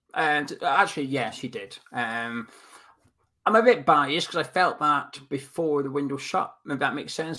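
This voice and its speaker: A man's fairly high, bright, sharp voice with a Scottish accent, lively intonation and a moderate pace. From Scotland. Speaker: football podcast co-host. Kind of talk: casual chat.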